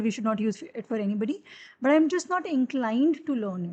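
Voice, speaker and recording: Lively in intonation, a woman talks at a fairly quick pace in a fairly high pitch. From Haryana, India. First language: Haryanvi. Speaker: math tutor. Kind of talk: live-streamed tutorial. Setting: livestream. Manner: hesitant, many fillers.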